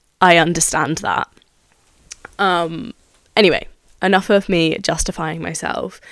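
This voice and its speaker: A woman with a British accent speaks at a fairly slow pace in a fairly low voice. Her speech has long, frequent pauses. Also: ordinary pitch variation. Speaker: podcaster. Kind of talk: solo monologue podcast. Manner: excitable, rambling.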